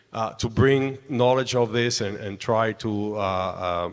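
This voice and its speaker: At a medium pitch, a man speaks with a Spanish accent and ordinary pitch variation. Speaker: construction industry representative, panelist. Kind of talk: panel discussion.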